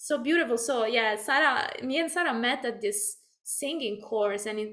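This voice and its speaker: A woman with an Italian accent speaks at a moderate pace in a high, bright, sharp voice, her loudness swinging widely. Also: ordinary pitch variation. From Italy. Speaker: video podcast co-host, singer. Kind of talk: casual conversation. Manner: halting, many fillers.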